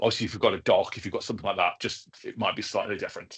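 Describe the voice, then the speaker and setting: This man talks with a southern English accent. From England, further south than the audience. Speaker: education technology trainer, former teacher. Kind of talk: online training webinar. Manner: casual, filler-heavy.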